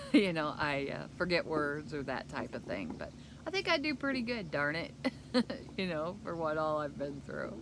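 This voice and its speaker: Speaking at a moderate pace, a woman's voice carries audible room echo. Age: 60s. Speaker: keto vlogger. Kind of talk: casual vlog talk. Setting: outdoors. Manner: halting.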